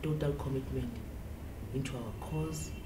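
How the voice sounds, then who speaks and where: A woman speaks at a fairly slow pace. There is noticeable background noise. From South Africa. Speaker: political party women's league member. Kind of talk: spoken eulogy tribute to a fallen comrade, ending in a Nguni farewell. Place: office.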